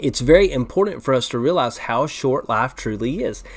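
A man talks with lively intonation at a fairly quick pace. His is an unremarkable speaking voice. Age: 30s. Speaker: pastor. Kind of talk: bible study teaching. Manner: casual.

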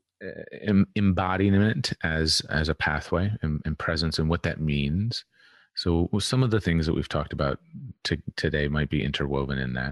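The voice is soft-spoken over a quiet background. The sound is dry and close, with no echo. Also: man, very deep, low pitch for a man, ordinary pitch variation, moderate pace. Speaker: podcast guest, healing and embodiment teacher. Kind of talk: casual interview chat.

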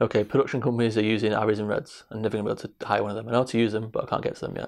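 A man with a Mancunian accent, fairly low pitch, flat monotone intonation and a very fast pace, against a quiet background. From Manchester, England. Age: 20s. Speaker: film director. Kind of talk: interview.

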